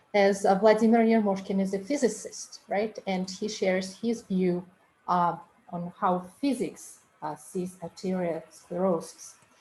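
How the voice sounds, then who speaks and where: A woman speaks at a fairly slow pace in a medium pitch, her dark, mellow tone somewhat breathy and her intonation fairly even. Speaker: medical interpreter. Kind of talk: webinar introduction.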